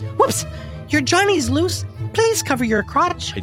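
A man's sing-song put-on character voice at a fairly slow pace, with clear music in the background. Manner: comic sing-song rhyming.

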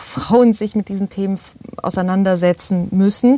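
A woman's medium-pitched voice, dark and mellow in tone, fairly even intonation at a fairly slow pace. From Bavaria, Starnberger See area. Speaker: actress and voice actor. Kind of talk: casual chat.

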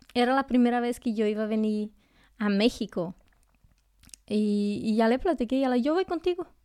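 With a dark, mellow tone and a fairly high pitch, a woman speaks at a moderate pace with lively intonation, very even loudness and long, frequent pauses, in a very clean recording over a silent background. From Brazil, near the Bolivian border. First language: Portuguese (speaking Spanish). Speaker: nurse. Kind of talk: casual interview chat.

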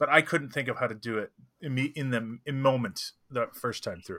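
A man talks at a medium pitch. His tone is bright and sharp.

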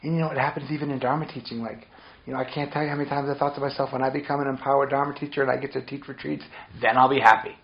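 Over noticeable background noise, a man with an American accent talks very fast in a fairly high pitch, his intonation monotone and flat. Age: 40s. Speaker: meditation teacher. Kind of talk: dharma talk. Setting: meditation retreat.

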